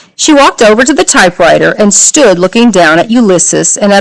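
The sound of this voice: It is an unforced reading voice with lively intonation.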